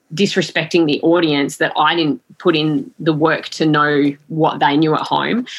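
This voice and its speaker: With an Australian accent, a woman speaks at a very deep, low pitch with fairly even intonation. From Western Australia (Collie, country WA). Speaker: sports broadcaster. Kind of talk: interview. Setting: podcast recording.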